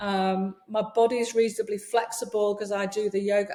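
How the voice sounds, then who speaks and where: Noticeable background noise behind a woman with a fairly high pitch and an English accent. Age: 60s. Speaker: leadership coach and yoga teacher. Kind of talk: podcast interview.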